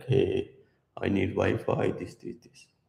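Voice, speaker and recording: In a put-on character voice, the speaker mumbles at a fairly slow pace. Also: man. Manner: flat, low-energy, mumbled.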